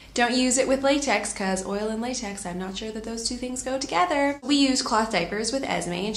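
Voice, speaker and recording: A woman speaks at a fairly quick pace with hardly any pauses, in a fairly high pitch with ordinary variation. Room echo is audible. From Canada. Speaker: lifestyle vlogger. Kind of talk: tutorial. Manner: casual, chatty. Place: home room. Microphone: phone near.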